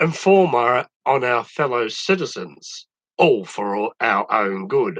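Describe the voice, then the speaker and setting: Recorded dry and close with no echo, a man with an Australian accent speaks at a medium pitch in a bright, sharp tone. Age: 70s. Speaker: social commentator. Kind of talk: opinion monologue.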